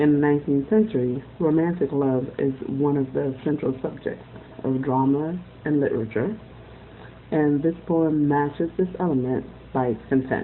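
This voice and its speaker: Speaking in a Haitian accent, a woman talks at a moderate pace with a very deep, low pitch and ordinary pitch variation. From Haiti, Port-au-Prince. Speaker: student. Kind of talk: class presentation reading poems aloud. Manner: formal.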